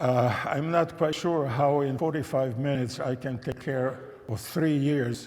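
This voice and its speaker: This man has a German accent and a somewhat breathy voice, with ordinary pitch variation. He talks at a fairly slow pace, and audible room echo surrounds him. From Czechoslovakia (Český Těšín, Silesia). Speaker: Holocaust survivor and religion scholar. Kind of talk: testimony talk to an audience. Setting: church with live audience.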